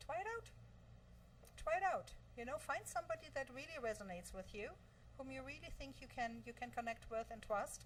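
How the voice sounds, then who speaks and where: A woman speaks with a slight German accent and long, frequent pauses. Noticeable background noise is present. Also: fairly quick pace. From Germany. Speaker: virtual assistant, entrepreneur. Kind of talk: interview.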